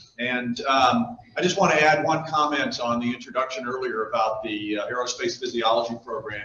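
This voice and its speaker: The speech moves at a fairly quick pace with hardly any pauses, over audible room echo and light background noise. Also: man. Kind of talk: speech to business audience. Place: hall. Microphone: podium.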